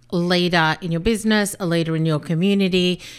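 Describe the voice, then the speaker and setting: In a very clean recording with a silent background, a woman speaks with an Australian accent at a fairly low pitch. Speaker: business coach, podcast host. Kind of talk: solo podcast monologue.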